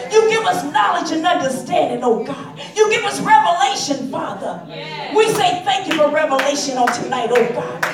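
The speech moves at a moderate pace with hardly any pauses. Noticeable background noise is present. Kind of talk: fervent prayer and praise, call-and-response style. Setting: prayer call. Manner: rhythmic, exclamatory, full of shouted 'hallelujah' and 'glory'.

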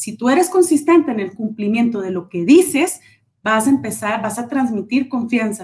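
Using a fairly high pitch, a woman speaks at a moderate pace with very wide pitch swings and big swings in loudness. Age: 40s. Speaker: leadership trainer and speaker. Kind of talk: interview on a live stream.

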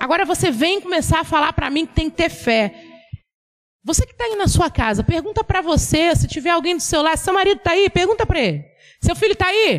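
A woman talks at a very fast pace with lively intonation. Her pitch is extremely high. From Bahia, Brazil (Ilhéus). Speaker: preacher. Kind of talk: sermon.

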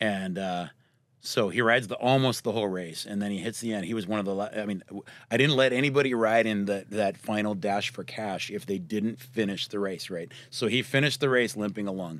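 A man with a plain, everyday voice and an American accent speaks fairly quickly at a fairly low pitch with ordinary variation, on a very clean recording with a silent background. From Southern Oregon. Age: 40s. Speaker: minibike race director. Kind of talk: casual chat.

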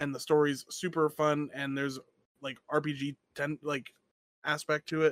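In a dry, close sound with no echo, a fairly high-pitched man talks at a fairly slow pace in a monotone, flat intonation with long, frequent pauses. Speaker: podcast host. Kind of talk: casual chat.

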